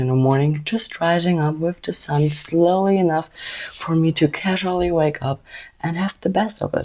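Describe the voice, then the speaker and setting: With a German accent, a woman speaks at a moderate pace in a dark, mellow tone and a fairly low pitch. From Germany. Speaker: vlogger. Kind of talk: casual vlog talk.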